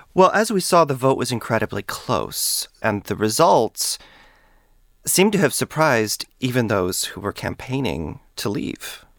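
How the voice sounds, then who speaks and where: A man's medium-pitched voice with vocal fry, fairly slow and full of very wide pitch swings, in a very clean, dry, close recording with no echo and a silent background. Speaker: podcast host and historian. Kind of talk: interview, host-led conversation. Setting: studio.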